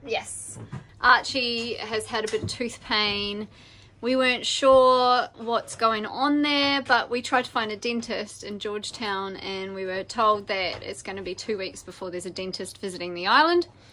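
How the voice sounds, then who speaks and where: The voice moves at a moderate pace with ordinary pitch variation and big swings in loudness. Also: woman. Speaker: sailing family vlogger. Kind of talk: casual vlog chat. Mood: concerned but calm. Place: boat. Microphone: phone near.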